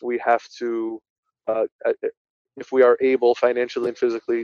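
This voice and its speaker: The speaker has a New Jersey accent and a moderate pace. The sound is dry and close, with no echo. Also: man. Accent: New Jersey American. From New Jersey (Linden, Union County). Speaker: attorney. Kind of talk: casual interview.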